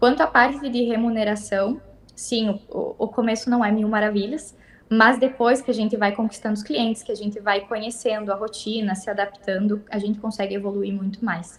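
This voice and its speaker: Her fairly high, somewhat breathy voice moves at a moderate pace, and the woman keeps her intonation fairly even. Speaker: veterinary technician. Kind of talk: interview. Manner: halting.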